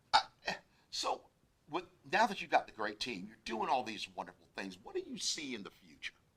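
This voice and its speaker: A loud man talks at a fairly quick pace. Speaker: interview show host. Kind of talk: casual interview. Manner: animated.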